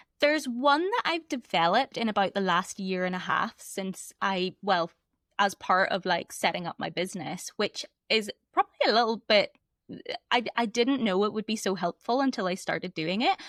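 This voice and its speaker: In a Northern Irish accent, a woman speaks at a moderate pace and medium pitch. Her intonation is lively, and the sound is dry and close with no echo. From Northern Ireland. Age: 30s. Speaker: embodiment coach. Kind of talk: podcast interview.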